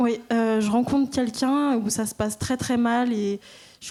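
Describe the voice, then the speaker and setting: The recording is very clean, with a silent background, and a woman speaks at a fairly slow pace. Her fairly high voice has a dark, mellow tone and monotone, flat intonation. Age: 20s. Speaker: church member giving baptism testimony. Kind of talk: testimony. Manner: halting.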